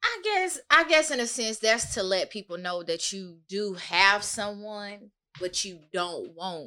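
With a plain, everyday voice at medium pitch, a woman speaks at a fairly slow pace, her intonation lively and her loudness swinging widely. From US South, Georgia (Augusta). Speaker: podcast guest. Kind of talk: casual chat.

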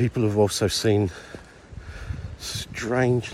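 A man speaks with fairly even intonation. Noticeable background noise runs behind him. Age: 50s. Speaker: podcast host. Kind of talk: on-location recording. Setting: outdoors in a wood at night.

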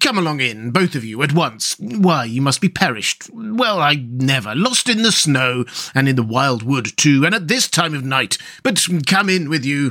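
A man's put-on character voice at medium pitch, bright and sharp in tone, with big pitch swings and few pauses. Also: moderate pace.

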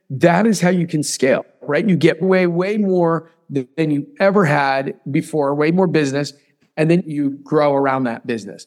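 Fairly high in pitch, a man speaks at a moderate pace. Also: ordinary pitch variation. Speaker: real estate agent and podcast host. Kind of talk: motivational pep talk / training. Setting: podcast, solo monologue. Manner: emphatic, high-energy, coach-like, punchy; fired-up, urgent, directive.

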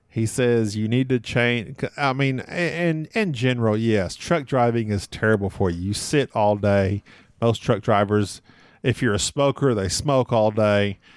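On a very clean recording with a silent background, a man with an American accent and an ordinary speaking voice talks at a fairly slow pace with ordinary pitch variation. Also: medium pitch for a man, dry, close sound with no echo. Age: 40s. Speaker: board game podcaster. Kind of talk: casual interview.

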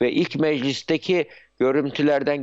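A man with a fairly high pitch speaks at a fairly slow pace, with ordinary pitch variation. The background is quiet. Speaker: psychiatrist and university founder. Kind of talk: live TV news interview. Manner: halting, many filler sounds.

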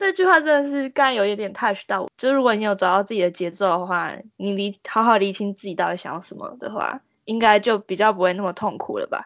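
Her medium-pitched voice carrying ordinary pitch variation, a woman talks at a very fast pace. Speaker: university student, podcast co-host. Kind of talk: casual chat.

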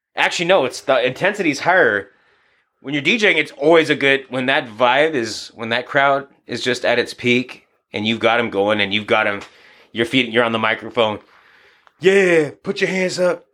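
A loud man with an American accent, a bright, sharp tone, lively intonation and a moderate pace, on a very clean recording with a silent background. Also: medium pitch for a man. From US Pacific Northwest, Seattle (Beacon Hill) then Yakima, Washington. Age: 30s. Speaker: boxing coach and DJ. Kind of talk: casual chat.

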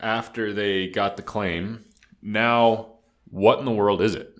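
Recorded very cleanly against a silent background, a man with a fairly low pitch talks at a fairly slow pace in an unremarkable speaking voice. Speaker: podcast co-host.

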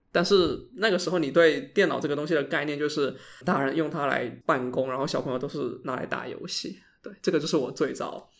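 Here is a man with a plain, everyday voice and a fairly high pitch. He moves at a fairly quick pace with ordinary pitch variation. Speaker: podcast host. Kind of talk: casual chat.

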